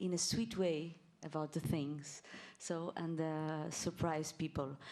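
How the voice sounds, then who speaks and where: Dark and mellow in tone, a woman speaks with a Portuguese accent. Her pace is fairly slow. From Portugal. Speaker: singer. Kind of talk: press conference answer. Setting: press conference. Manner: halting.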